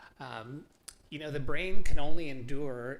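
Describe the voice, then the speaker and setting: Noticeable background noise runs under a man speaking with ordinary pitch variation. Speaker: artist and bitcoin advocate giving a talk. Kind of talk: presentation to a live meetup audience. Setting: stage with audience. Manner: loud; casual, conversational.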